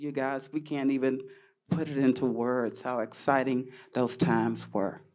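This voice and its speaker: A woman with a Texas accent, very deep and low in pitch, with vocal fry. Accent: Southern US, Texas. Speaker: panelist, former cheerleader. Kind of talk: panel discussion, personal reminiscence.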